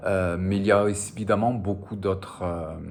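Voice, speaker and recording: A man speaks at a fairly slow pace with a Spanish accent and a very deep, low pitch. Room echo can be heard. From French Basque Country, border with Spain. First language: Spanish (speaking French). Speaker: novelist. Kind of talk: interview. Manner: hesitant, frequent filler sounds.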